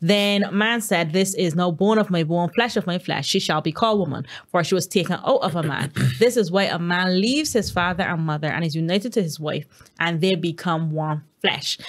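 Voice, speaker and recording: A woman's fairly low voice at a fairly quick pace with ordinary pitch variation. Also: quiet background. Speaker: podcast panelist. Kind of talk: bible study discussion. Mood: calm, warm, occasional laughs. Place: studio. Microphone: studio mic.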